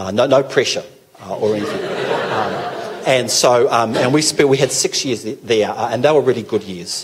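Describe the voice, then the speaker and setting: With a New Zealand accent, a man talks at a moderate pace with ordinary pitch variation over noticeable background noise. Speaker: pastor. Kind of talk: talk to a church gathering. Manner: hesitant, many fillers.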